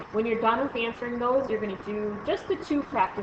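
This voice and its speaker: Noticeable background noise sits behind a woman with a fairly high pitch. She speaks with lively intonation. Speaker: math teacher. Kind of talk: recorded lesson screencast. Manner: fast; hesitant fillers.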